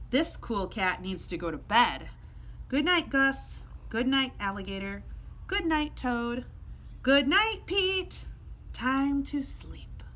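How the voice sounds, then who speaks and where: Using a put-on character voice, a woman speaks at a fairly slow pace with long, frequent pauses over clear background noise. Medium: read story. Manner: laid-back, groovy.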